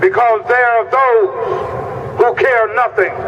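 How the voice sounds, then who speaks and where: A man talks very slowly over clearly audible background noise. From Mississippi. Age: 60s. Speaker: activist and veteran. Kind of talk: rally speech. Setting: outdoor rally at the Capitol. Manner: impassioned.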